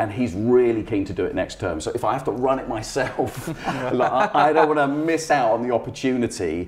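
The speaker talks at a fairly quick pace over light background noise. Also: man. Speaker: guest. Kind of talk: interview answer. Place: home room.

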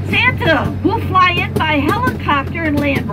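A woman speaking at a very slow pace, music in the background. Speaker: train ride guide. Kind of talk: tour guide commentary. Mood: cheerful, folksy. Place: train.

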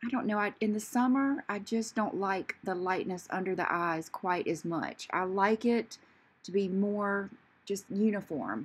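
A woman speaks at a fairly slow pace, her pitch varying in an ordinary way. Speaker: beauty vlogger. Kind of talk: casual makeup tutorial chat. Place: bathroom. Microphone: phone near.

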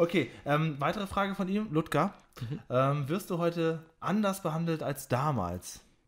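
A man speaks at a fairly slow pace in a fairly high voice. His pitch varies in an ordinary way, and the recording is very clean with a silent background. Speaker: podcast host. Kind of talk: interview. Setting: his own home. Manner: announcer-like.

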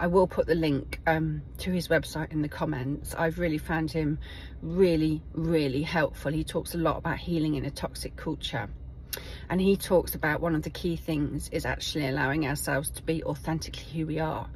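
A woman with an English accent talks at a fairly quick pace, the sound dry with no echo and light background noise behind her. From England. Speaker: video blogger. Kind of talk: personal video diary. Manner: halting. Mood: warm, reflective. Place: car. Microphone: phone near.

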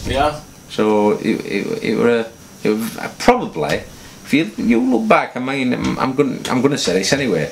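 A man's fairly quick, lively-intoned speech over light background noise. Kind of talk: interview answer. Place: office.

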